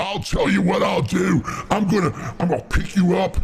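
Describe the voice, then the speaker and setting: A man in a put-on character voice speaks at a moderate pace, pitched high for a man and raised and projected, with clear background noise. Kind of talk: wrestling promo. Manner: gruff, aggressive, promo-style.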